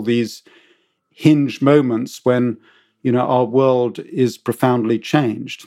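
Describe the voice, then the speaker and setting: A man with a British accent speaks at a fairly slow pace. His voice is medium in pitch with a dark, mellow tone and fairly even intonation. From Britain. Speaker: author and former journalist. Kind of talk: interview answers. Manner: hesitant, filler words.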